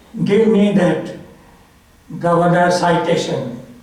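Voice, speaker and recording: A man with a high voice speaks over noticeable background noise, and the room echo is audible. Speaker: author speaking at a memorial. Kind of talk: memorial tribute speech.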